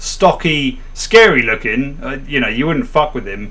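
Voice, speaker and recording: With audible room echo and noticeable background noise, the speech moves at a moderate pace. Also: man. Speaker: book club livestream host. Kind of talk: casual chat, anecdote on livestream. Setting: livestream. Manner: halting, repeated false starts.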